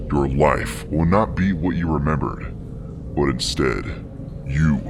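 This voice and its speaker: A man performs a put-on character voice at a moderate pace. Clear background noise sits behind him. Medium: read story. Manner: curt, commanding.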